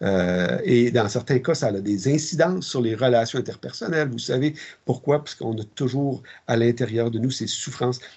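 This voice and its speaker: A man's somewhat breathy voice at a moderate pace. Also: medium pitch for a man, ordinary pitch variation. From Quebec, Ormstown south shore of Montreal. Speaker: military chaplain. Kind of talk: interview. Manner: halting.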